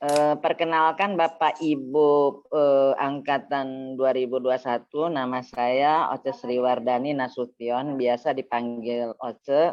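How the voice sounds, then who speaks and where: This woman's voice sits at a very deep, low pitch, with fairly even intonation. She talks at a very slow pace. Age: 60s. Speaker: Quran class student. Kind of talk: self-introduction in online class. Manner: hesitant, many fillers.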